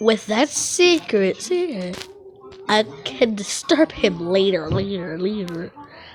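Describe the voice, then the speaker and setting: This is a cartoonish character voice that sounds female, fairly high in pitch. It moves at a fairly slow pace. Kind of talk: fan comic dub acting. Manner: stammering, repeating words.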